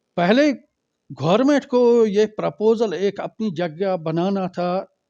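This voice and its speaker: Against a quiet background, a man talks with lively intonation and a dark, mellow tone. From Srinagar, Kashmir. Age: old. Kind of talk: press conference statement.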